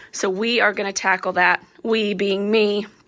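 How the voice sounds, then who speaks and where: A woman's medium-pitched voice is heard over noticeable background noise. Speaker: stay-at-home mom vlogger. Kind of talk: casual chat to camera. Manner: chatty, animated.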